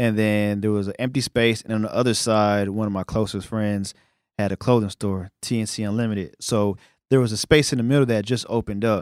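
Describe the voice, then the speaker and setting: Recorded very cleanly with a silent background and a dry, close sound with no echo, a man with a normal speaking voice talks at a fairly quick pace and fairly low pitch, his intonation fairly even. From New York City (Brooklyn). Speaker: media company founder. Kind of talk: casual interview. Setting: studio.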